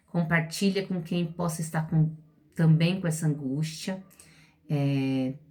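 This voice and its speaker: A woman speaks at a fairly slow pace with a fairly low pitch and a somewhat breathy voice. Her intonation stays fairly even. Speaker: literacy teacher. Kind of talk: educational talk to parents.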